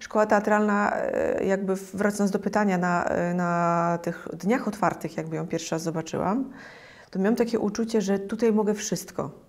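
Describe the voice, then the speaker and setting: A woman at a moderate pace, her intonation fairly even. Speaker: interview guest. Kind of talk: interview answer. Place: home room. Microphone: lapel.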